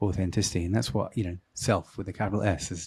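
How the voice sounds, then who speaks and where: On a very clean recording with a silent background, a man speaks very fast in a very deep, low, somewhat breathy voice with ordinary pitch variation. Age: 40s. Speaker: podcast host. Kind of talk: interview conversation.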